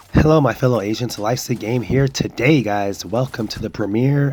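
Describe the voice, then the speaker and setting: A man's speech, at a moderate pace and with ordinary pitch variation, comes through noticeable background noise. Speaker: gaming streamer. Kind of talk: gameplay commentary. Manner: halting, many fillers.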